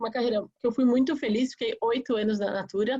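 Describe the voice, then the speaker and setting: Her voice is somewhat breathy and fairly high-pitched, and this woman talks at a moderate pace with fairly even intonation. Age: 30s. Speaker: politician, mayoral candidate. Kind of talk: campaign presentation in a webinar. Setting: online webinar.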